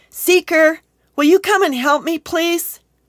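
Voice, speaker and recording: In a put-on character voice, a woman squeaks at an extremely high pitch, speaking fairly slowly with fairly even intonation, the sound dry and close with no echo on a very clean recording with a silent background. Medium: read story. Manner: warm, gentle.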